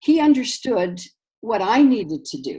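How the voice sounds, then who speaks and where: A woman's somewhat breathy voice, dark and mellow in tone, at a moderate pace. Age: 60s. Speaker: amateur runner. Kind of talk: personal testimony. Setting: webinar.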